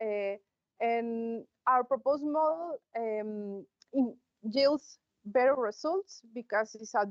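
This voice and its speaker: With ordinary pitch variation, a woman talks in a fairly high voice. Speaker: conference presenter. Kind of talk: conference talk. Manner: halting, many fillers.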